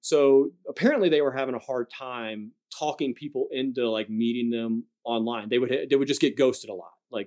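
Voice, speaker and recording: A plain, everyday voice from a man at medium pitch, moderate pace, ordinary pitch variation and hardly any pauses, on a very clean recording with a silent background and a dry, close sound with no echo. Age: 30s. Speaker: endurance athlete and army veteran. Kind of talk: casual chat.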